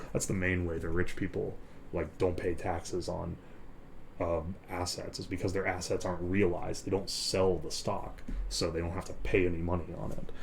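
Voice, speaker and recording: Very deep, low male voice, somewhat breathy and monotone, at a moderate pace. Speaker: live streamer. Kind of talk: ASMR live stream talk. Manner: whispered.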